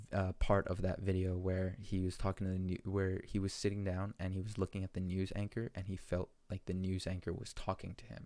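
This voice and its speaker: Speaking at a fairly quick pace with hardly any pauses, a man with a very deep, low pitch and a dark, mellow tone keeps a monotone, flat intonation on a very clean recording with a silent background. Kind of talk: educational podcast monologue. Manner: hesitant, many filler words.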